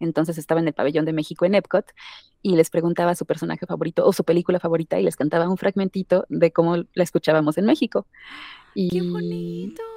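Very fast speech from a woman, fairly low-pitched with a dark, mellow tone and ordinary pitch variation, dry and close with no echo. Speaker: singer and voice actress. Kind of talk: casual interview chat.

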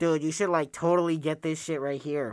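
A loud, nasal, put-on character voice sits at a middle pitch. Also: fairly quick pace. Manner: loud, pushy.

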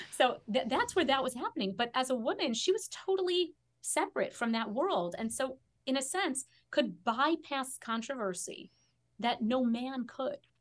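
A woman talks in an American accent at a high pitch with very wide pitch swings. Her pace is moderate. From US Midwest, Chicago. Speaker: historian and educator. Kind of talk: interview conversation.

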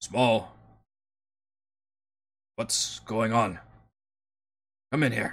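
A raspy, low-pitched, put-on character voice. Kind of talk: plain, standard speech, not broken.

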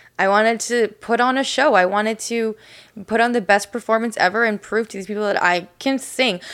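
A woman with an unremarkable speaking voice talks fairly quickly in a fairly high pitch with fairly even intonation. The recording is very clean, with a silent background. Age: 20s. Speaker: church worship leader and podcast co-host. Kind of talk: casual chat. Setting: studio, seated on a couch.

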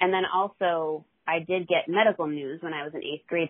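A woman's ordinary speaking voice, fairly low in pitch, fairly quick and fairly even in intonation. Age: 40s. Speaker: therapist and recovery mentor. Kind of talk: interview.

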